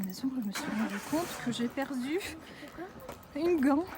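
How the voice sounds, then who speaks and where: Speaking very slowly with a slight non-native accent, a woman uses a high pitch over noticeable background noise. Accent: slight foreign. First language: not French (speaking French). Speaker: vlogger. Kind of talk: casual vlog. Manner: halting.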